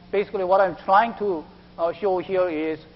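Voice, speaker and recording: A man with a Korean accent at a moderate pace. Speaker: IT project manager. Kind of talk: business presentation.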